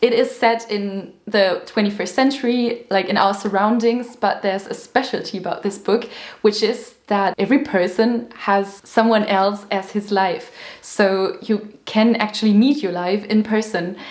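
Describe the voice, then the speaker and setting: With a German accent, a woman speaks at a moderate pace. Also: fairly high pitch for a woman, fairly even intonation. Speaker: booktuber. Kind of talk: casual chat.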